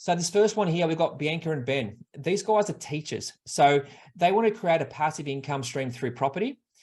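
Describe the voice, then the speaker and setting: Against a quiet background, a man with an Australian accent talks in a somewhat breathy voice with lively intonation. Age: 40s. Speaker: buyer's agent and property investment advisor. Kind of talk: online workshop presentation. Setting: live online webinar. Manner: fast.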